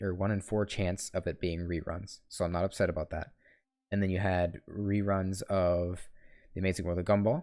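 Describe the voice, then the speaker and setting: A man mumbles at a moderate pace, his very deep, low pitch flat and monotone. His tone is dark and mellow over a quiet background. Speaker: gaming youtuber. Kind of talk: solo rant while gaming. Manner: mumbling; halting, stuttering.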